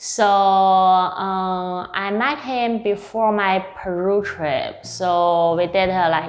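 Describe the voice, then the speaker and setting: The voice has ordinary pitch variation. Audible room echo is present. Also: woman. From northeast China (Harbin). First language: Mandarin Chinese. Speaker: dinner guest. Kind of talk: casual chat. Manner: halting.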